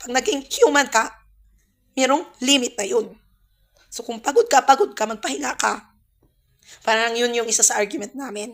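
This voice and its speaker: The recording is very clean and the background silent. A female speaker talks at a high pitch. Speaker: vlogger, small cafe owner. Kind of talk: personal vlog storytelling. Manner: halting, with self-corrections.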